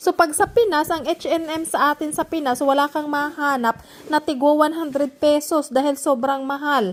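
Pitched high, a woman speaks in an animated tone with ordinary pitch variation. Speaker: vlogger. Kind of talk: casual vlog talk.

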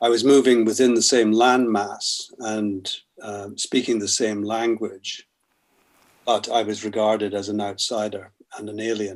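Against a quiet background, a man with a Scottish accent speaks fairly slowly in a fairly low, monotone, flat voice. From Scotland. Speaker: poet and novelist; poet. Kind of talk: interview answer. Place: home room. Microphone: webcam.

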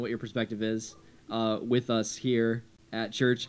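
Music plays behind a man as he talks. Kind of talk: casual welcome to congregation. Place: church. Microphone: studio mic.

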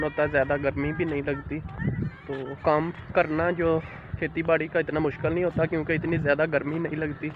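The speaker goes at a fairly slow pace with monotone, flat intonation. The sound is dry with no echo, though noticeable background noise is present. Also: man. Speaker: village vlogger. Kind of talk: casual vlog chat. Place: open country. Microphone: phone near.

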